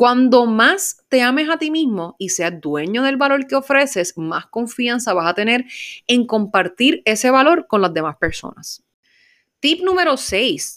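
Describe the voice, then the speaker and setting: A woman's high, animated voice, fairly slow, with very wide pitch swings, in a very clean recording with a silent background. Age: 20s. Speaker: podcast host and life coach. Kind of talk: motivational monologue.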